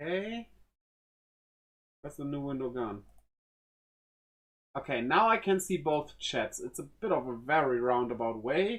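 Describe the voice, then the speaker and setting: A speaker with a German accent talks at a moderate pace. Long, frequent pauses break up the speech. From Germany. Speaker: streamer. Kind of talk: live stream chat while building a model. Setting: live stream. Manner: casual, halting.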